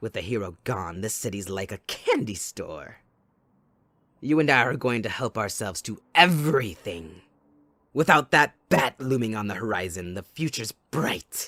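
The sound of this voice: Put-on character voice from a man, fairly low-pitched and fairly bright, at a fairly slow pace with lively intonation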